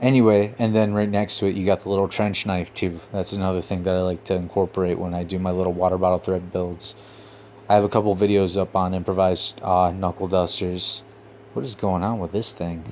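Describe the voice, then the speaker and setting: Very deep, low-pitched male speech, delivered fairly quickly. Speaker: YouTube host, weapons maker. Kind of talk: casual talk-to-camera video. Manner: gets excited and childlike.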